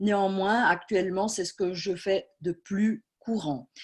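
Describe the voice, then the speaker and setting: The background stays quiet. Speech proceeds at a fairly slow pace. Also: woman. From Switzerland, Swiss Jura. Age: 40s. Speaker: medium. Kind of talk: talk at an online conference. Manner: hesitant, many fillers.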